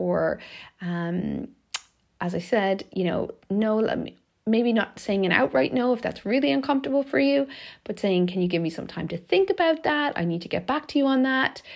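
Speaking at a moderate pace, a woman of medium pitch makes very wide pitch swings. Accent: Irish. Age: 40s. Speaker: life coach, podcast host. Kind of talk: solo podcast monologue, reflective talk. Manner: warm, gentle.

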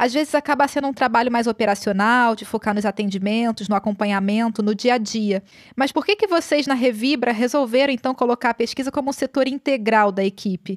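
A plain, everyday voice with hardly any pauses, in a dry, close sound with no echo and a very clean recording against a silent background. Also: woman, fairly high pitch for a woman, ordinary pitch variation, fairly quick pace, very even loudness. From Brazil, Rio de Janeiro suburbs. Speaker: podcast host. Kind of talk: interview conversation.

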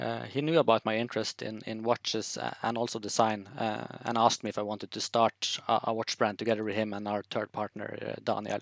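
With a Norwegian accent, a man speaks at a fairly low pitch and a fairly quick pace, with hardly any pauses. His intonation is fairly even, and the sound is dry and close with no echo. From northern Norway, Tromsø. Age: 30s. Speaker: watch brand founder. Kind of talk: podcast interview.

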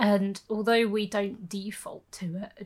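On a very clean recording with a silent background, a woman at medium pitch speaks at a fairly slow pace, sounding somewhat breathy. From England, Birmingham. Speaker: podcast co-host. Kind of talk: casual chat.

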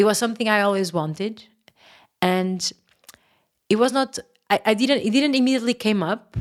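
The speaker has a Portuguese accent and ordinary pitch variation. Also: woman. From Portugal, Porto. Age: 30s. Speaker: yoga teacher. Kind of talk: interview.

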